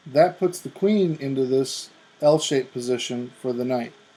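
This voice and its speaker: Speaking at a fairly slow pace with lively intonation, a man has a dark, mellow tone and a fairly high pitch. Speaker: chess tutorial youtuber. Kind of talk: tutorial. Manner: halting.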